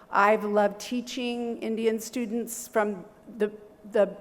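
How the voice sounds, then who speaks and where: A woman with a Californian accent talks at a fairly slow pace in a medium pitch. Her intonation is monotone and flat, with noticeable background noise. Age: 60s. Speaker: university professor. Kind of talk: seminar presentation. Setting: seminar hall with audience.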